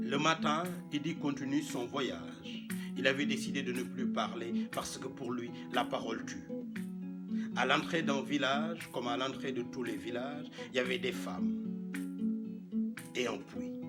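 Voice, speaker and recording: Music in the background under a man talking at a fairly slow pace, with long, frequent pauses. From Senegal. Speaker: professional storyteller. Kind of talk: traditional tale told aloud.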